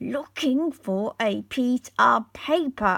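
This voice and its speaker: Using a put-on character voice, a woman speaks at a very slow pace in a high pitch. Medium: read story. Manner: surly, sharp.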